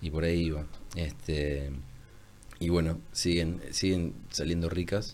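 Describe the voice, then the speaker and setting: A man with a very deep, low voice talks at a very slow pace, stopping for long, frequent pauses. His pitch moves in an ordinary way, and room echo is audible. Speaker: holistic therapist. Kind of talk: casual interview conversation. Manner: calm, soothing; ordered, measured.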